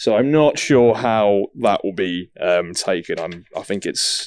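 The pitch of this man's voice varies in an ordinary way. He is the one talking. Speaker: economics reporter. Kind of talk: casual interview. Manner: halting, many fillers.

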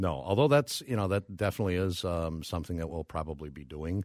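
A man speaks with an Upper Midwest accent at a fairly quick pace, his intonation fairly even. The sound is dry and close with no echo, and the recording is very clean over a silent background. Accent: Upper Midwest American. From Minnesota (Brooklyn Park, Minneapolis suburb). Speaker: mushroom forager and food entrepreneur. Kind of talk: casual interview.

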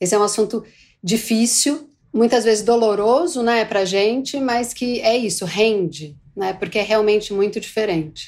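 Against a silent background in a very clean recording, a woman speaks at a moderate pace. She has an ordinary speaking voice, fairly high in pitch, with ordinary pitch variation. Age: 40s. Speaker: market insights manager. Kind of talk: casual chat.

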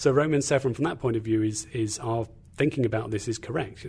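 With an English accent, a man speaks at a fairly quick pace in a dark, mellow, somewhat breathy tone with ordinary pitch variation. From England. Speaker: guest speaker on faith. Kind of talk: sermon-like teaching talk. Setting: studio.

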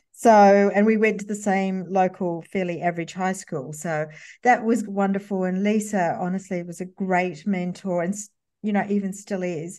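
Speaking in an Australian accent, a woman has a dark, mellow tone and a medium pitch. Her pace is moderate, her intonation fairly even, and the background quiet. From Sydney western suburbs, Australia. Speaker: copywriter and former magazine journalist. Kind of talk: interview.

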